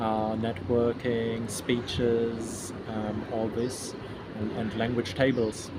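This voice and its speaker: Speaking with a German accent, a man uses a medium pitch and monotone, flat intonation at a very slow pace. Audible room echo and noticeable background noise fill the recording. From Germany. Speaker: event organizer. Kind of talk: interview. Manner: halting.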